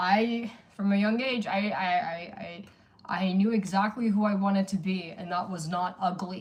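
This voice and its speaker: A woman's somewhat breathy voice, fairly even in intonation, at a fairly slow pace. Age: 40s. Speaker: livestreamer. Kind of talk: casual livestream chat.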